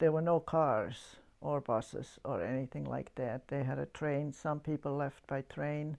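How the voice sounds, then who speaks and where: Speaking with a German accent against a quiet background, a woman has a dark, mellow tone and a very deep, low pitch. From Yugoslavia, German-speaking community. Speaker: church member giving testimony. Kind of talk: testimony. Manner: halting.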